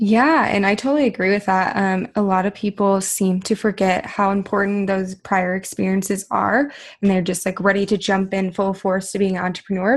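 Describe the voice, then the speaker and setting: Somewhat breathy woman at a fairly quick pace, quiet background. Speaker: podcast host. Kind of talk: casual interview. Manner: enthusiastic.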